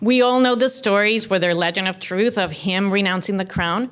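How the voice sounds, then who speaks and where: A woman speaks at a medium pitch with ordinary pitch variation and a Cuban accent. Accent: Cuban Spanish accent, noticeable. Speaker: keynote speaker. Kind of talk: keynote speech. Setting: luncheon with audience.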